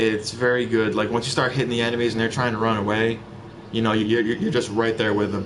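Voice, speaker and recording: A man talks at a very fast pace in a flat monotone at medium pitch. The room echo is audible, and there is noticeable background noise. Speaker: gaming video creator. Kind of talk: game guide commentary. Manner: halting, with frequent fillers and repeats.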